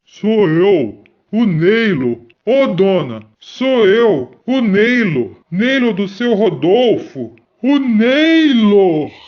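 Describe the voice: A put-on character voice drawls at a very slow pace and a fairly high pitch.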